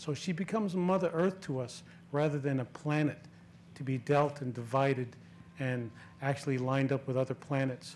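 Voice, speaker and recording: Moderately paced speech from a man, fairly high in pitch and with ordinary pitch variation. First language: not English. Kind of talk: panel remarks. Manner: halting.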